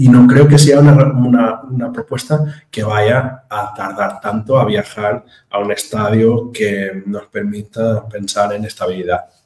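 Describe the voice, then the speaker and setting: A man with a medium pitch and fairly even intonation takes his words at a fairly slow pace. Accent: Brazilian. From Portugal, near the Spanish border. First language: Portuguese (speaking Spanish). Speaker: JavaScript standards committee member. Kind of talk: interview. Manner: halting.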